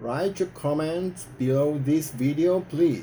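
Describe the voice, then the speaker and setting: Ordinary pitch variation runs through this man's dark, mellow tone. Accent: Japanese. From Japan. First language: Japanese. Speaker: activist. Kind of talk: prepared speech to camera.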